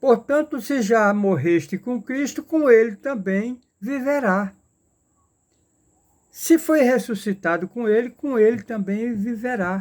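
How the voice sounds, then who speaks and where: Speaking at a very slow pace with long, frequent pauses, a man uses an extremely high pitch. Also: ordinary pitch variation, very clean recording, silent background. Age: 70s. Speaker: lay preacher. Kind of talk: sermon. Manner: halting, repetitive.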